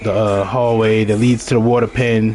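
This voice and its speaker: Over noticeable background noise, a man with a strong Baltimore accent speaks at a moderate pace and medium pitch. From Baltimore, Maryland, US. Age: 30s. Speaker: video game streamer. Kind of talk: gameplay live stream commentary. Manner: casual, conversational.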